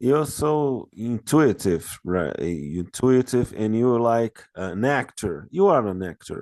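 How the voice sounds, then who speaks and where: Against a quiet background, a man with a Brazilian accent talks at a very slow pace with hardly any pauses and very wide pitch swings. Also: medium pitch for a man. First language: Portuguese. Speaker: interviewer. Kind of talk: interview. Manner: halting.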